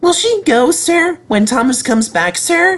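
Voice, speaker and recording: A put-on character voice with a high pitch and very wide pitch swings moves at a moderate pace. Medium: read story. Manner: polite, nervous.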